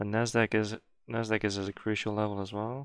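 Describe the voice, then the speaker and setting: A fairly low-pitched man with fairly even intonation against a quiet background. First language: not English. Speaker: day trader. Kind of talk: live trading commentary.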